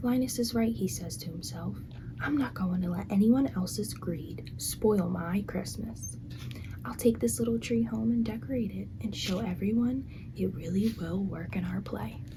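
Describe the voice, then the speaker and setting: The speaker is whispering, soft-spoken, at a moderate pace. Noticeable background noise is present. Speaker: ASMR creator. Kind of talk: reading aloud.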